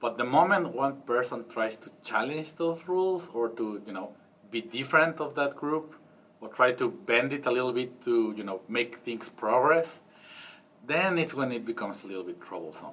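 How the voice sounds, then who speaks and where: Speaking at a moderate pace with a Spanish accent, a man uses a medium pitch and lively intonation while his loudness swings a lot. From Mexico. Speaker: interviewee, foreign resident. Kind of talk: interview answer.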